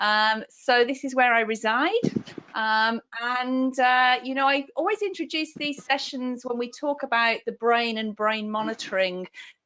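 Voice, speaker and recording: Speaking in a strong British accent, a woman uses a high pitch and ordinary pitch variation at a fairly slow pace. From UK. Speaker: neonatal nurse practitioner and clinical specialist. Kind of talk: lecture.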